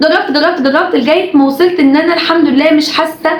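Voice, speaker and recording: A woman talks at a fairly quick pace with ordinary pitch variation. Audible room echo and noticeable background noise surround her voice. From Egypt. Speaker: YouTuber and TV presenter. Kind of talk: casual vlog monologue.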